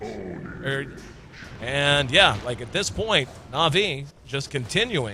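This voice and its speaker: A man speaks in a high voice over noticeable background noise. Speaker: esports commentator. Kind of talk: live commentary. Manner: loud; fast.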